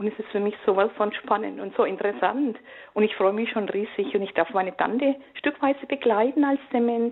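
A woman talks at a fairly quick pace in an ordinary speaking voice. Her pitch is fairly high, with ordinary variation. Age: 60s. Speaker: caller. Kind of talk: phone-in testimony.

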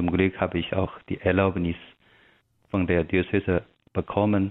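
A man with a Chinese accent speaks in a very deep, low voice. His delivery is monotone and flat, with long, frequent pauses. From China. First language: Chinese (speaking German). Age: young. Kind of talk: radio interview. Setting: remote connection. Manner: halting.

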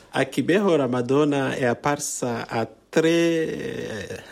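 With noticeable background noise, a man at medium pitch talks very slowly with lively intonation. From Rwanda. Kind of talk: interview via interpreter.

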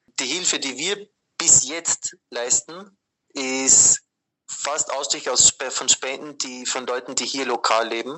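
A man's medium-pitched voice with ordinary pitch variation at a very slow pace. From Austria. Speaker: Jesuit aid worker. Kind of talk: interview. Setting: WhatsApp call. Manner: hesitant, many fillers.

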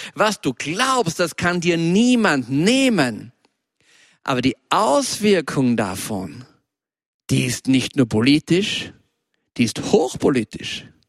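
A man's fairly high voice at a very slow pace, very wide pitch swings, long, frequent pauses, and a dry, close sound with no echo. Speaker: preacher. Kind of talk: sermon.

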